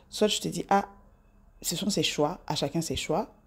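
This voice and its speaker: The speaker has an animated tone and ordinary pitch variation at a moderate pace, in a very clean recording with a silent background. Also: woman. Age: 40s. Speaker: self-improvement vlogger. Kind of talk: casual monologue to camera.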